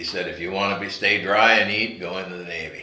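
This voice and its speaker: A man with a Pacific Northwest accent speaks amid noticeable background noise and audible room echo. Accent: American, Pacific Northwest. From US Pacific Northwest, Seattle. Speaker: war veteran. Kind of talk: interview testimony. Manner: halting, many fillers.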